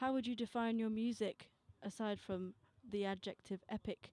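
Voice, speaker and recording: With a dark, mellow tone and fairly high pitch, a woman speaks in a dry, close sound with no echo. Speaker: student musician hosting radio takeover. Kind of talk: casual radio interview. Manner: animated.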